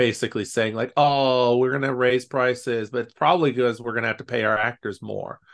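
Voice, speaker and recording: A man at medium pitch and fairly quick pace, against a quiet background. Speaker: podcast host. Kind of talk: casual chat. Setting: video call. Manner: animated.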